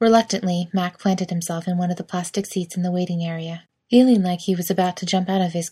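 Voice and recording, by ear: The background is quiet as a passage is read aloud in a natural voice.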